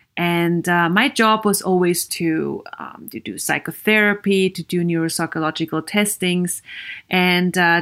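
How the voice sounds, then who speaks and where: A woman at a medium pitch and fairly slow pace, with ordinary pitch variation, in a very clean recording with a silent background. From Vienna, Austria. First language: German. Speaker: podcast host and psychologist. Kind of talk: solo podcast monologue.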